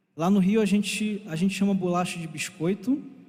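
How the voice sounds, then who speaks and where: Speaking with a Rio de Janeiro accent, a man has a high pitch and a dark, mellow tone. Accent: Rio de Janeiro (carioca). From Brazil, Rio de Janeiro. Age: 20s. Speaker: church teacher. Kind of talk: bible class lecture. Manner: warm, conversational.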